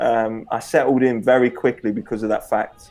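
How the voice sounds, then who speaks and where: Music plays in the background as a man speaks with an East Midlands accent. His intonation is monotone and flat. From Leicester, England. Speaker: former professional footballer. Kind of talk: interview.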